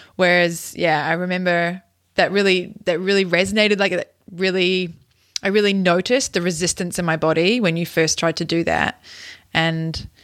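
A woman speaks in a plain, everyday voice at a moderate pace, her fairly low pitch held in fairly even intonation on a very clean recording with a silent background. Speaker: podcast host. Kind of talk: casual interview chat.

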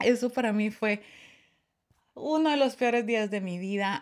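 In a very clean recording with a silent background, a woman speaks at medium pitch with ordinary pitch variation. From Guatemala. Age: 30s. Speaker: podcast host. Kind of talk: casual chat.

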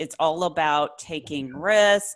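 The voice has lively intonation and an animated, enthusiastic tone. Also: woman. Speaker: podcast host. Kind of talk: interview, upbeat.

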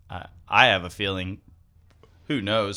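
A man is speaking. He has an American accent. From US South. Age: 30s. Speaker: wingsuit pilot and skydiving instructor. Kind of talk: casual interview. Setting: studio. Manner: relaxed.

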